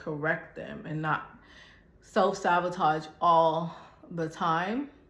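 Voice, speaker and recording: At a very slow pace, a woman with a fairly low pitch speaks with fairly even intonation, with audible room echo. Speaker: fitness vlogger. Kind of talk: casual chat. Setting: gym.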